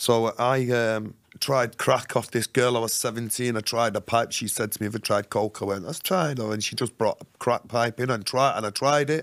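With a Mancunian accent, a man speaks at a moderate pace and medium pitch with ordinary pitch variation. There are hardly any pauses, and the background is quiet. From Manchester, northern England; northern England. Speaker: author and ex-prisoner; podcast guest. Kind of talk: casual interview, life story. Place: studio. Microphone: studio mic.

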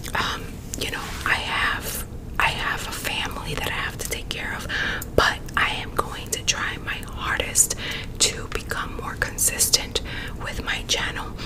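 Over loud background noise, a woman whispers at a fairly slow pace. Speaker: ASMR YouTuber. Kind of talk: casual vlog chat. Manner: close-mic whispered talk to viewers. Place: home room. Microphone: studio mic.

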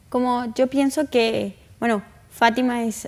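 A woman speaks with ordinary pitch variation. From northern Argentina, Tucumán. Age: young. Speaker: interview guest. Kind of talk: interview. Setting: studio. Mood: warm, gentle, earnest. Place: studio. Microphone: lapel.

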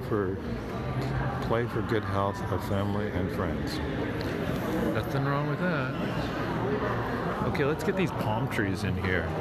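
Loud background noise fills the recording. A man speaks at a very slow pace. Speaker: photographer vlogger. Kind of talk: casual vlog chat. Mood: curious, relaxed. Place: hall. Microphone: phone near.

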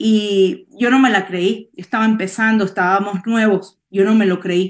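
Over a quiet background, a woman speaks at a fairly slow pace with fairly even intonation. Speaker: network marketing distributor. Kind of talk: testimony. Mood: emotional, heartfelt. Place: home room. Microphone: webcam.

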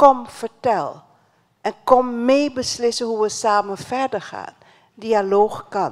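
At a very slow pace, a woman with a fairly high pitch and ordinary pitch variation speaks with big swings in loudness over a quiet background. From Suriname. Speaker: education ministry official; speaker. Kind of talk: closing speech at a dialogue event. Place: hall. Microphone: handheld.

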